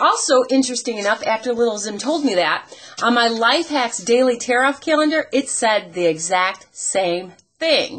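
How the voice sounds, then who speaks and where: A woman with a high-pitched voice talks at a moderate pace, her pitch swinging very widely. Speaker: radio personality; home video creator. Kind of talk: casual talk to camera. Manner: friendly, conversational. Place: kitchen. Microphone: webcam.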